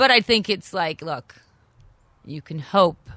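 The speaker talks at a fairly slow pace in a Canadian accent. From Canada. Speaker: caterer and restaurant owner. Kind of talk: interview.

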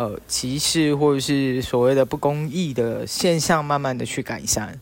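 A man with a normal speaking voice talks fairly slowly at a fairly high pitch. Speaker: podcast co-host. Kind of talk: casual chat.

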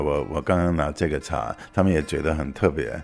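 With an English accent, a man speaks at a very deep, low pitch with vocal fry, fairly even intonation and a moderate pace, on a very clean recording with a silent background. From New York, US. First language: English (speaking Chinese). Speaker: tea entrepreneur. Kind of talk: interview testimony. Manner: halting.

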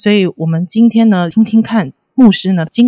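Her tone dark and mellow and somewhat breathy, a woman speaks with ordinary pitch variation in a dry, close sound with no echo. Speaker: podcast host, editor. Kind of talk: interview.

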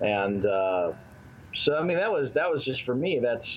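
A man speaks at a moderate pace with a medium pitch. Noticeable background noise sits behind him. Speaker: film producer and director. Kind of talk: casual interview.

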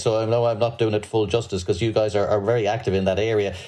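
Speaking very fast with an Irish accent, a man uses a medium pitch and fairly even intonation, his tone dark and mellow and somewhat breathy. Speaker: podcast host, financial journalist. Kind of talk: interview. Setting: remote video call.

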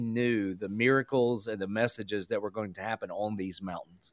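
Heard on a very clean recording with a silent background, a man with a Southern US accent speaks at a medium pitch with ordinary pitch variation. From US South. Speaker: pastor. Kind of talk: radio interview.

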